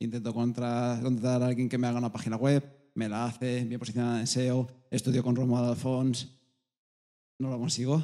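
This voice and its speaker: A man talks at a moderate pace with a medium pitch and a dark, mellow tone. His intonation is flat and monotone. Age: 30s. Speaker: personal trainer, audience member. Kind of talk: audience testimony at live event.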